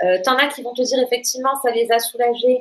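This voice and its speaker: A woman's fairly high voice at a very fast pace. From southern France, Toulouse. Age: 30s. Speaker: patient sharing testimony. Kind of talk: testimony in casual interview. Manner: hesitant, many fillers.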